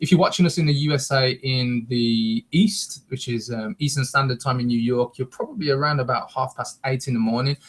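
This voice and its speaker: A man with a medium-pitched, somewhat breathy voice talks at a fairly quick pace with ordinary pitch variation. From West Midlands, England (Wolverhampton). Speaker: internet marketing show co-host. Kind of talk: live webcast presentation. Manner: energetic.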